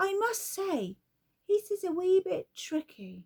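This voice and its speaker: A woman's put-on character voice, squeaky and extremely high-pitched, in a dry, close sound with no echo. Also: fairly slow pace. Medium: read story. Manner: cheerful, offhand.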